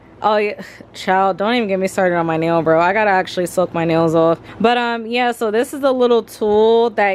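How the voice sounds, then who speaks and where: A woman talks at a fairly quick pace in a medium pitch with ordinary pitch variation. Noticeable background noise is present. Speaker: lifestyle vlogger. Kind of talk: casual vlog talk to camera. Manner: fast; animated.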